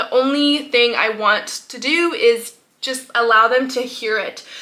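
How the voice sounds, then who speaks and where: A woman speaks in a raised, projected voice. Her pitch is high, with ordinary variation. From French Polynesia (Tahiti). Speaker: homeschooling mom and naturopath vlogger. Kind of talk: casual vlog talk to camera. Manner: hesitant, many fillers.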